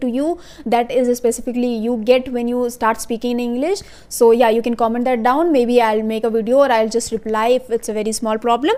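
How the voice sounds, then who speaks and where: A woman with an Indian accent talks at a fairly quick pace in a high pitch, her tone dark and mellow and her intonation fairly even. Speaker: YouTuber, English learning tips. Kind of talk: casual tutorial. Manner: fast; hesitant, many fillers.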